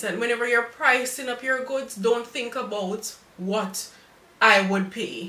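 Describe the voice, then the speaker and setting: A woman with a Jamaican accent at a fairly slow pace, with audible room echo and noticeable background noise. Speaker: cake decorator. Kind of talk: live stream tutorial. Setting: live stream.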